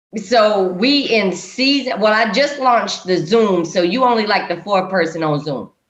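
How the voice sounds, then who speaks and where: A woman with a Southern US accent speaks at a medium pitch with lively intonation and hardly any pauses. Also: moderate pace. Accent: Southern US (Georgia). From Georgia. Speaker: podcast host. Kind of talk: casual chat. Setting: video call.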